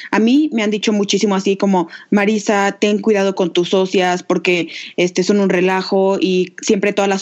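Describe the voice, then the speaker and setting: A normal speaking voice at a moderate pace, with fairly even intonation. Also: woman. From Mexico, Aguascalientes. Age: 20s. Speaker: podcast co-host, entrepreneur. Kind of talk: casual chat.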